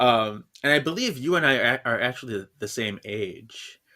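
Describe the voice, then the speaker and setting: Bright, sharp tone with ordinary pitch variation. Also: man. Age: 30s. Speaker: podcast host. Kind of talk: casual chat.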